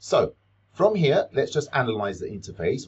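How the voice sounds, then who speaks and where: With audible vocal fry, a man speaks at a moderate pace. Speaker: teacher making a software tutorial. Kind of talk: tutorial.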